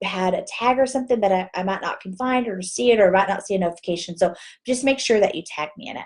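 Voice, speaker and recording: Here a woman with a Texas accent talks at a fairly quick pace against a quiet background. Her pitch is medium, with ordinary variation. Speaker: direct sales team leader. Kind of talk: live video Q&A tutorial. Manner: casual, chatty. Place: home room. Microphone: webcam.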